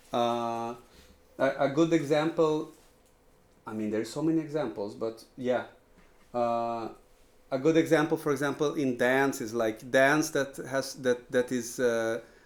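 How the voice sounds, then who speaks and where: A man speaks with a Portuguese accent at a medium pitch. He leaves long, frequent pauses. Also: ordinary pitch variation, fairly slow pace. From Brazil. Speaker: composer. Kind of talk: lecture. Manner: halting, many repetitions and fillers.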